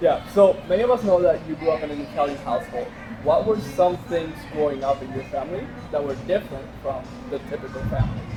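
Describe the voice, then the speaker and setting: A man with a fairly high pitch talks at a very fast pace with lively intonation over music in the background. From Puerto Rico. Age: 20s. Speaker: podcast host. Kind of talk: casual interview. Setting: in-person studio with two microphones.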